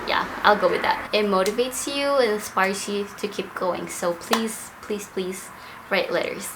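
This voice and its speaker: Audible room echo and noticeable background noise surround a woman with a fairly high pitch who speaks at a fairly slow pace with ordinary pitch variation. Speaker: air force member, vlogger. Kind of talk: casual vlog talk.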